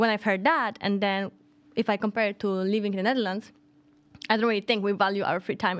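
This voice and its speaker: A woman with a Polish accent talks at a fairly quick pace with long, frequent pauses and fairly even intonation against a quiet background. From Poland. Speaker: podcast co-host. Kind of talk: casual chat.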